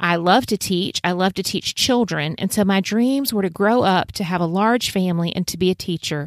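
A woman with a South Carolina Lowcountry accent, medium pitch and ordinary pitch variation, at a moderate pace with hardly any pauses, in a very clean recording with a silent background and dry, close sound free of echo. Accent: Southern US (South Carolina Lowcountry). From US South, Low Country of South Carolina. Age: 50s. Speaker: podcast host, homeschooling mother. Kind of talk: podcast monologue.

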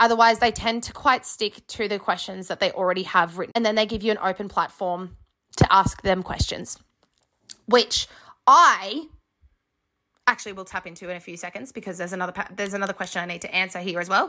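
In an Australian accent, a woman talks at a very fast pace with a medium pitch and ordinary pitch variation. Her tone is bright and sharp, with big swings in loudness. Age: 20s. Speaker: podcast host and graduate teacher. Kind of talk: casual monologue.

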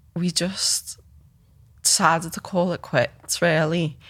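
On a very clean recording with a silent background, a woman speaks with a Liverpool accent at a fairly low pitch. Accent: Liverpool (Scouse) English. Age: 30s. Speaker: photographer and filmmaker. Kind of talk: casual interview. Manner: hesitant, many fillers.

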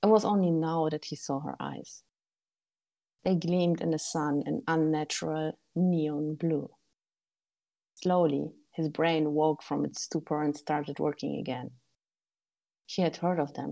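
Pausing long and often, a woman with a German accent speaks in a very deep, low pitch, with a dark, mellow tone and fairly even intonation. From Germany. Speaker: author and game writer. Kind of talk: casual interview chat.

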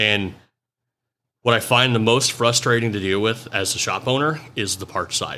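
A man's bright, sharp voice at medium pitch and moderate pace, on a very clean recording with a silent background. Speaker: mobile automotive diagnostic business owner. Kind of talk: casual chat. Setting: in person at a trade conference. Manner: loud; animated.

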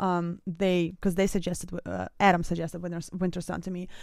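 A woman speaks with a Russian accent. Her pace is moderate. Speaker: music reaction youtuber and singer. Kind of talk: casual reaction commentary. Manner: animated.

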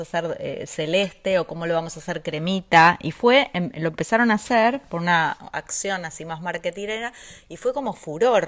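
A woman talks in an ordinary speaking voice at a moderate pace. Her pitch variation is ordinary. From Argentina. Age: 50s. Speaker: podcast co-host, nutrition professional. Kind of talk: casual chat.

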